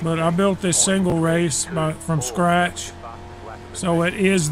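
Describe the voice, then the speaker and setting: A man with a high pitch and fairly even intonation, music in the background. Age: old. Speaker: sim racer. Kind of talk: casual livestream commentary while gaming. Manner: plain, unhurried straight talk.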